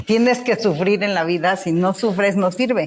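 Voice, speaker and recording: Medium in pitch with ordinary variation, a woman speaks at a moderate pace. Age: 50s. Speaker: therapist and movement method founder. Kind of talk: podcast interview. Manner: animated.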